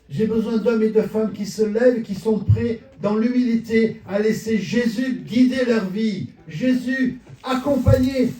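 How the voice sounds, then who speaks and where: Pitch variation is ordinary. The pace is very slow. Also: man. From southern France, Marseille. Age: 70s. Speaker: pastor. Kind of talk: sermon.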